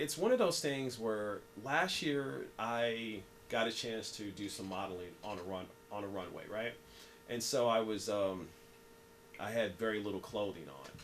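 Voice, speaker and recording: A man with an American accent, medium pitch, and moderate pace, with audible room echo. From US Midwest, Southside Kansas City. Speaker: writer and speaker. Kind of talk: interview. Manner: repetitive, halting; animated.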